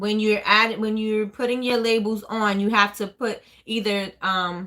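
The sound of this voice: The voice has a bright, sharp tone, shows little pitch movement, and moves at a fairly slow pace. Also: woman, medium pitch for a woman.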